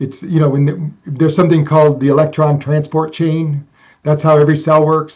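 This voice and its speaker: The man speaks at a fairly quick pace. His voice is fairly high-pitched and somewhat breathy. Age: 60s. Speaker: brain fitness technology creator. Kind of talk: interview conversation.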